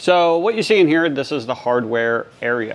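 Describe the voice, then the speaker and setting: Medium tempo from a man, with normal pitch movement. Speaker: fence supply business owner. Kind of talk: casual walkthrough vlog. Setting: walking through warehouse, filming on phone. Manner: casual, filler-heavy; quiet.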